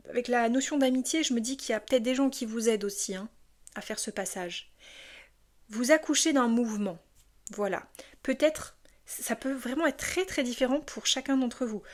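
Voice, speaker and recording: A woman's high, animated voice at a moderate pace, with long, frequent pauses, on a very clean recording with a silent background. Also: ordinary pitch variation. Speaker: tarot card reader. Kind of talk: tarot reading.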